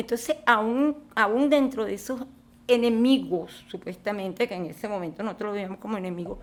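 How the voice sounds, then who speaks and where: A woman with a Venezuelan accent speaks at a fairly high pitch. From Caracas, Venezuela. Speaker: film director and screenwriter. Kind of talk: interview answer.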